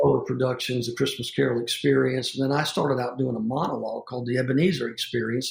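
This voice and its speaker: A man speaks with a Southern US accent, his pitch medium. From US South. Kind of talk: interview conversation.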